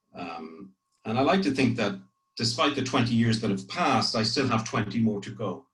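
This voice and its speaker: Somewhat breathy, a man at medium pitch speaks at a fairly quick pace. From Ireland, grew up partly in France. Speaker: corporate public affairs executive. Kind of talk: career talk to trainees. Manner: frequent hesitations and repetitions.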